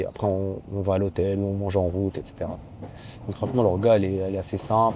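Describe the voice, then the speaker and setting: Talking at a very fast pace, a man with a fairly low pitch and a dark, mellow tone keeps a flat, monotone intonation. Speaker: judoka and vlogger. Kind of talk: casual vlog.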